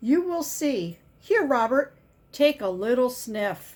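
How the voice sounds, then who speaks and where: A put-on character voice moves at a fairly slow pace, with very wide swings in pitch. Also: woman, high pitch for a woman. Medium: read story.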